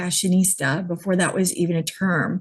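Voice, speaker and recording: Somewhat breathy speech with an American accent comes at a moderate pace. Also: woman. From New York City, then Georgia from late teens. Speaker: image consultant. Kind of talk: interview.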